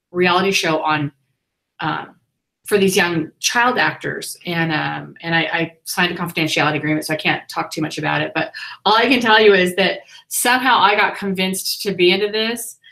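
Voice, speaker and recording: Loud and at a fairly quick pace, a woman speaks with a bright, sharp tone, a medium pitch and ordinary pitch variation. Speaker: family vlogger interviewing an author. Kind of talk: live-stream interview chat. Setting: live online hangout.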